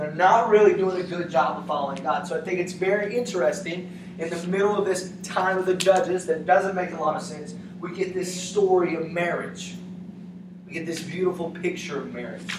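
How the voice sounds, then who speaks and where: A man with an East Tennessee accent talks at a fairly quick pace in a high, monotone, flat voice, with big swings in loudness, noticeable background noise and audible room echo. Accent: Southern US (East Tennessee). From US South, East Tennessee. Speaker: youth pastor. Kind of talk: sermon. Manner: casual; fast.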